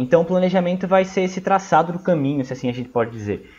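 A high-pitched man's voice at a very fast pace, with ordinary pitch variation and noticeable background noise. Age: 20s. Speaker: history student and study mentor. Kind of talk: casual educational talk.

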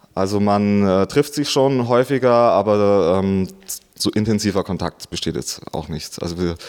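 An ordinary speaking voice carries ordinary pitch variation. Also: man. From Bavarian Swabia, rural Augsburg district. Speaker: DJ and event promoter. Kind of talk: interview. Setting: club venue.

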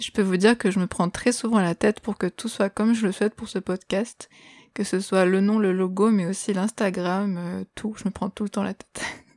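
A woman's medium-pitched voice at a moderate pace, with fairly even intonation and a dry, close sound with no echo. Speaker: music podcast host. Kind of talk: scripted solo podcast narration. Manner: radio-presenter style phrasing.

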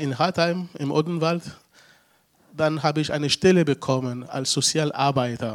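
Fairly high-pitched male speech, intonation fairly even. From Togo. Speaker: former refugee, social worker. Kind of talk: interview. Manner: halting.

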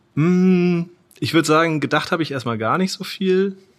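Heard in a very clean recording with a silent background, a man talks at a fairly slow pace. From northern German coast. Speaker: product design student. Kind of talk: interview.

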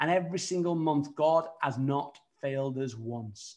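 The speaker is a man with a British accent. The background is quiet. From United Kingdom. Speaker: evangelist. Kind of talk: sermon. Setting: virtual studio.

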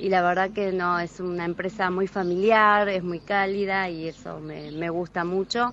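A woman with a Rioplatense accent speaks at a fairly slow pace with hardly any pauses, her medium pitch held flat and monotone. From Buenos Aires, Argentina. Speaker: tourist, contest winner. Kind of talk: on-location interview.

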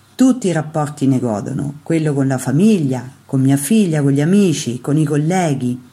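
A woman's very deep, low voice with a dark, mellow tone, somewhat breathy, at a moderate pace and with ordinary pitch variation. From central Italy, Terni (Umbria). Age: 60s. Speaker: Zen teacher.

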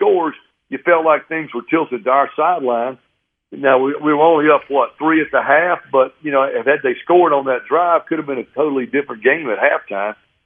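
A man speaks at a fairly quick pace. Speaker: radio game analyst. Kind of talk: radio sports talk. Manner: animated, excited after the game.

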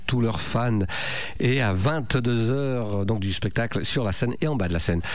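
A man with lively intonation speaks very slowly, his voice carrying audible room echo amid noticeable background noise. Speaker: radio host. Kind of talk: radio show presenting.

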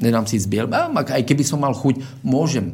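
Speaking at medium pitch and a moderate pace, a man is heard with audible room echo and noticeable background noise. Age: 30s. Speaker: martial arts coach. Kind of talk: radio interview.

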